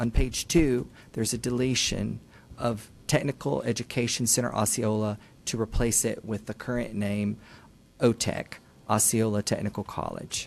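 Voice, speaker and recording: At a medium pitch, a man talks in a plain, everyday voice at a moderate pace with fairly even intonation. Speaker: school district staff presenter. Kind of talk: formal presentation at board meeting. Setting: public board meeting. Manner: formal.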